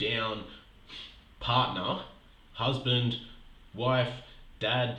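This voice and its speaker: A man's medium-pitched voice with audible room echo. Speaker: podcast host and health coach. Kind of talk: motivational podcast monologue. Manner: breathless, like walking uphill.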